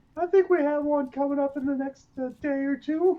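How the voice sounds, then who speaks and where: In a put-on character voice, the speaker uses a high pitch and an upbeat tone at a moderate pace. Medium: actual play. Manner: upbeat, casual.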